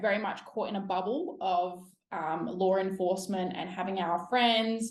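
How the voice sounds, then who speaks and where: A woman with an Australian accent speaks at a medium pitch and fairly even intonation, with audible room echo around her. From South Australia. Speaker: police officer. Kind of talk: interview podcast. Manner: casual.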